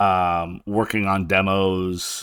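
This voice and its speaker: A man's bright, sharp tone on a very clean recording with a silent background. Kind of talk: casual monologue podcast. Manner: casual, many filler words.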